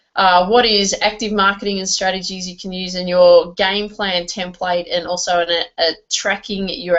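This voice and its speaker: At a moderate pace, a woman with an Australian accent speaks at medium pitch with fairly even intonation. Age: 40s. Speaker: network marketing trainer. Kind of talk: online training webinar. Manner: hesitant, many fillers and repeats.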